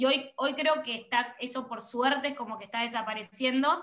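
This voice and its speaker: A woman at a moderate pace. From Argentina. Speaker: photographer and content creator. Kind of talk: interview conversation. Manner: animated.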